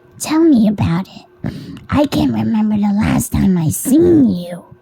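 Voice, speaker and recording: A woman puts on a character voice at a medium pitch, speaking at a moderate pace. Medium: read story. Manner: calm, somber.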